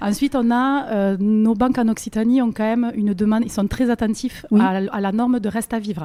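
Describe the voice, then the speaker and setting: A woman with a southern French accent speaks fairly quickly at a fairly high pitch in a dark, mellow tone. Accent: southern French, sing-song. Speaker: mortgage broker. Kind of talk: interview answer.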